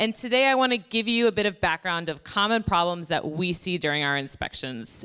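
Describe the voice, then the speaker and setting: A woman talks loudly at a moderate pace, her medium-pitched voice bright and sharp in tone. The recording is very clean, with a silent background. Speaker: pollution prevention inspector presenting at a conference. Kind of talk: conference presentation. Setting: conference room with audience, using microphone.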